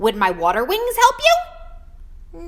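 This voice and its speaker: A woman uses a put-on character voice that is squeaky and extremely high. There is light background noise. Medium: read story.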